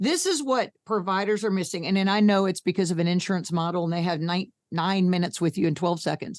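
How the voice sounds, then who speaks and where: With an American accent, a woman talks at a medium pitch and a fairly quick pace with fairly even intonation, in a dry, close sound with no echo and a quiet background. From US Northeast. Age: 60s. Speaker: health coach and patient advocate. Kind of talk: podcast interview. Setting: video call. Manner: blunt, brash.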